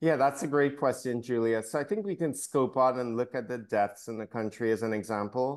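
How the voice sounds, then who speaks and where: With a normal speaking voice, a man of medium pitch talks at a fairly quick pace with ordinary pitch variation and hardly any pauses. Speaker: doctor. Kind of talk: radio interview.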